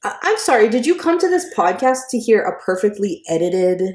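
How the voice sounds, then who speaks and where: This woman has an American accent and a fairly high pitch. Her pitch swings very widely. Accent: Boston accent, shows when angry. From Boston. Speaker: podcast co-host. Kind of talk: casual chat. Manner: animated.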